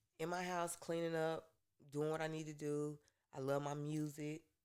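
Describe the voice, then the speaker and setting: This is a woman. Her pitch is very deep and low. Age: 30s. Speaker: nail technician. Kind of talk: casual chat. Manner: calm.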